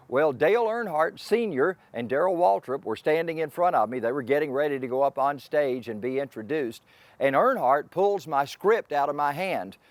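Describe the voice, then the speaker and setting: With a Southern US accent, a man at a fairly high pitch talks at a moderate pace with lively intonation and hardly any pauses, on a very clean recording with a silent background. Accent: Southern US (Georgia). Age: 60s. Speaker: racing announcer. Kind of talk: interview monologue.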